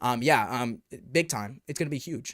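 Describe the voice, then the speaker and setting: A man speaks in an animated tone on a very clean recording with a silent background. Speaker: VR gaming YouTuber. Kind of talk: live stream chat reading viewer comments. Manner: fast.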